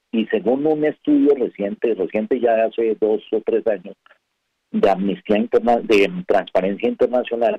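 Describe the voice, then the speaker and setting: Very even loudness from a man at a moderate pace. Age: 60s. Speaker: former ambassador and columnist. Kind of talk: radio interview. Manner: hesitant, many fillers.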